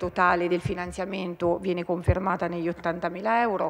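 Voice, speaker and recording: With a fairly low pitch and monotone, flat intonation, a woman speaks at a moderate pace. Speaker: regional councillor. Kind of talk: parliamentary question time, reading out a question. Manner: hesitant, many filler pauses. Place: hall. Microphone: podium.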